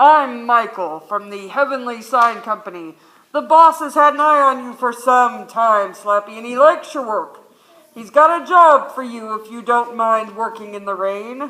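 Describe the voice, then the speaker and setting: Delivered at a moderate pace, the put-on character voice stays fairly high in pitch. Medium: stage play. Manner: folksy, easygoing.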